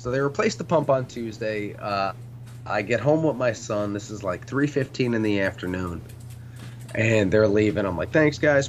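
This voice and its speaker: Moderately paced speech from a man, ordinary pitch variation, noticeable background noise underneath. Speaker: podcast co-host, military veteran. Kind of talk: casual chat. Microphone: bad connection, breaking up.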